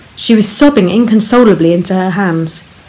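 Pitch varies in an ordinary way during plain reading aloud.

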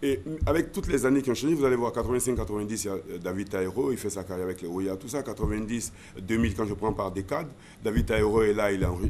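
A man talks at a moderate pace with fairly low pitch and ordinary pitch variation. There is light background noise. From Côte d'Ivoire, Abidjan (Adjamé); Côte d'Ivoire. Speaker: former radio and TV presenter; radio host, guest. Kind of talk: interview. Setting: studio. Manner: halting, many repetitions. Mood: relaxed, reminiscing. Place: studio. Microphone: studio mic.

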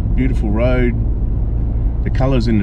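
A man is heard with noticeable background noise in a dry sound with no echo. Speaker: travel vlogger. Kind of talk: casual vlog chat. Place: car. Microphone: camera far.

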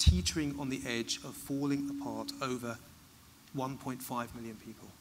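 A man with a British accent speaks at a fairly high pitch with fairly even intonation. Background noise is noticeable. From United Kingdom. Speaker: migration policy expert; expert guest at a public lecture. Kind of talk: public Q&A. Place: stage.

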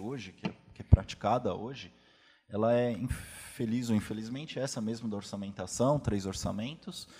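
A man speaks at a moderate pace with a dark, mellow tone. His pitch varies in an ordinary way. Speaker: state attorney. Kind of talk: panel Q&A. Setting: auditorium with audience. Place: hall.

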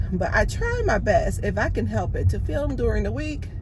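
Over loud background noise, a woman talks at a moderate pace with ordinary pitch variation.

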